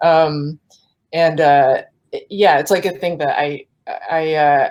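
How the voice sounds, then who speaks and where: A woman with an American accent speaks in a fairly low pitch. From US West Coast, San Francisco Bay Area. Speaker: cartoonist and author. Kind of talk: panel discussion. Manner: hesitant, many fillers.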